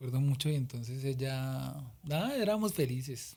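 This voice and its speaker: A dark, mellow tone comes through in a voice that is somewhat breathy. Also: man. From Colombia, Boyacá. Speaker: singer-songwriter. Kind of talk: interview.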